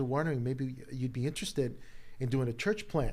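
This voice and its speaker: A plain, everyday voice from a man, fairly quick in pace, medium-pitched, with ordinary pitch variation. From Chicago (Humboldt Park), Puerto Rican family. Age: 50s. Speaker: pastor. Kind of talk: casual chat. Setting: studio.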